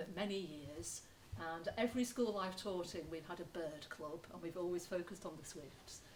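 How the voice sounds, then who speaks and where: This is a woman speaking. She has a Lancashire accent. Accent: Lancashire accent, noticeable. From northern England, Lancashire. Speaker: retired teacher and environmental educator. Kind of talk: talk to an audience.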